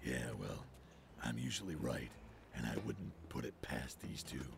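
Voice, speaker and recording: A man puts on a character voice with a very deep, low pitch. He talks at a moderate pace over clear background noise. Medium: audio drama. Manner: dry, gruff, sardonic.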